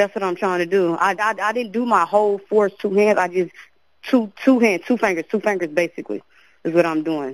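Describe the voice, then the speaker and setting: A woman's voice at a fairly quick pace, with ordinary pitch variation and a dry sound with no echo. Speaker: caller. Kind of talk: emergency phone call.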